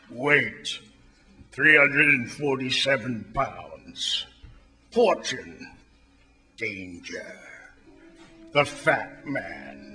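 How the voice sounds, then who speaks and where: A man puts on a character voice with a fairly high pitch, speaking very slowly with long, frequent pauses. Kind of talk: hard-boiled detective voice-over. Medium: old radio play. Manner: dry, wry, world-weary.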